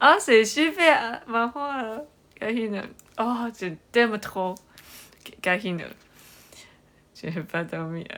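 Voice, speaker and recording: A woman's fairly high, bright, sharp voice with lively intonation, big swings in loudness, a very slow pace and long, frequent pauses. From Taiwan. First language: Chinese (speaking French). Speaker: livestreamer. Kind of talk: live stream chat with viewers. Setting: livestream. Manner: halting, many hesitations.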